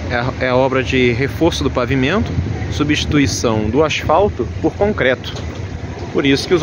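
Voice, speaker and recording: The sound is dry, with no echo, and noticeable background noise. The speaker is a man. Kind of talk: commentary. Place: street. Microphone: phone near.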